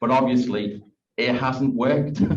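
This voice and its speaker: A man talks with a strong Liverpool accent. His pace is moderate. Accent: Liverpool accent, still strong. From Liverpool, England. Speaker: school principal. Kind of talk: thank-you speech.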